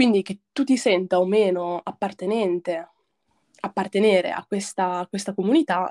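Recorded dry and close with no echo, a woman speaks at a fairly slow pace, medium in pitch with ordinary pitch variation. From northern Italy, province of Brescia (Lake Garda); born in Morocco. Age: 20s. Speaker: film and media graduate, collective member. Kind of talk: casual chat.

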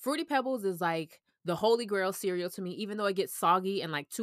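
In an American accent, a woman with an unremarkable speaking voice talks at a fairly quick pace with medium pitch and ordinary pitch variation, the sound dry and close with no echo. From US South, Orlando, Florida. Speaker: food journalist and freelance writer. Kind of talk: casual interview chat.

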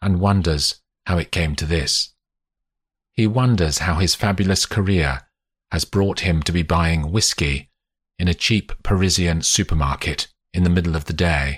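On a very clean recording with a silent background, a man speaks at a fairly slow pace, his very deep, low voice somewhat breathy. The sound is dry and close with no echo, and his pitch varies in an ordinary way. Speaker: audiobook narrator. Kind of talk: literary audiobook reading, third-person fiction narration. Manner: measured, atmospheric, storytelling pace; shifts into character voices for dialogue.

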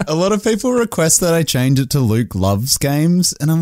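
Over noticeable background noise, a man with an Australian accent talks at a moderate pace, his pitch swinging very widely. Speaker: gaming content creator. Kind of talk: casual chat. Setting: call.

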